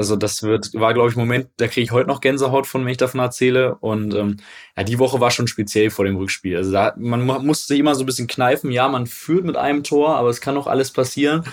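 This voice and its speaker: A man's medium-pitched voice at a very fast pace with hardly any pauses and ordinary pitch variation, on a very clean recording with a silent background. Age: 20s. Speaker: football club marketing manager. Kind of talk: casual interview.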